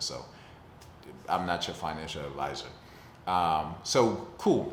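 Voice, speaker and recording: The speaker has an American accent and ordinary pitch variation. Room echo is audible. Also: man. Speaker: personal finance vlogger. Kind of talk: casual talk-to-camera vlog. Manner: fast; casual, conversational.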